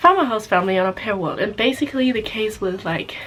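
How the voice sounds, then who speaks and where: A woman speaks with a German accent and ordinary pitch variation. Noticeable background noise sits behind her voice. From Germany. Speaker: au pair vlogger. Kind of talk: casual vlog talk. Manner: halting.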